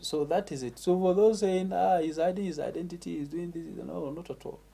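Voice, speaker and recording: Speaking fairly quickly in a northern Nigerian accent, a man with a high pitch and a dark, mellow tone keeps fairly even intonation amid big swings in loudness. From northern Nigeria, Katsina State. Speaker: MC and former teacher. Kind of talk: interview.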